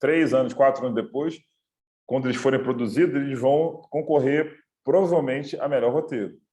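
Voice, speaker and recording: The speaker is a man talking at a moderate pace. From Rio de Janeiro, Brazil. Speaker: film director and screenwriter. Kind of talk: online talk / lecture. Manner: halting, many fillers.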